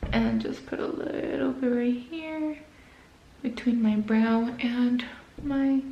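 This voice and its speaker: A woman whispers, soft-spoken, at a very slow pace. Audible room echo and noticeable background noise surround her voice. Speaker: beauty vlogger. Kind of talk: makeup tutorial. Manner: soft-spoken, sounds like whispering; casual, hesitant.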